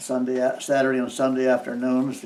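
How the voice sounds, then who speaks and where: A man with a Midwestern US accent speaks in a fairly even intonation over noticeable background noise. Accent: rural Midwestern American. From US Midwest (eastern Iowa, rural). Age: 70s. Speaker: farmer. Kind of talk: oral history interview. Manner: halting, with frequent fillers.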